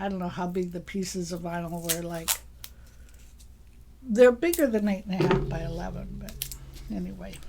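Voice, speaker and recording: Soft-spoken at a moderate pace, the voice comes through noticeable background noise. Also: woman. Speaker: sewing shop presenter. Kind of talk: live craft tutorial. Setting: livestream in craft room. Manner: casual, chatty.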